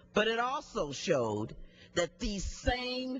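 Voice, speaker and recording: A woman with an American accent at a very slow pace, very wide pitch swings, music in the background. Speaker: member of the US House of Representatives. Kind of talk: congressional floor speech.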